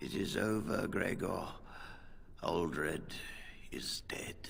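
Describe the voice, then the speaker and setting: Over clear background noise, a man whispers in a put-on character voice at a very slow pace. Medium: video game. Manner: weary, dignified.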